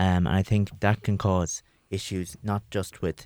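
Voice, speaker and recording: Recorded very cleanly against a silent background, a man with an Irish accent speaks in a very deep, low pitch and a dark, mellow tone, his intonation monotone and flat, the sound dry and close with no echo. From Longford, Ireland. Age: 20s. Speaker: policy officer. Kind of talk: panel discussion.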